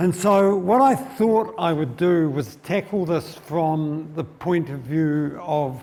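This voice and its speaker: Speaking with a New Zealand accent, a man uses a fairly high pitch and lively intonation at a very slow pace with hardly any pauses. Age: 70s. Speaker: financial speaker. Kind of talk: seminar talk. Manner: halting.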